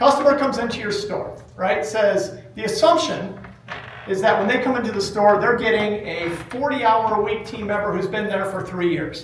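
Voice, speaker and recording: A man speaks loudly at a moderate pace, his pitch high with ordinary variation and an animated tone. Noticeable background noise and audible room echo come through. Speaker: running store owner presenting at a trade event. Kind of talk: conference presentation. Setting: stage with live audience, using a microphone.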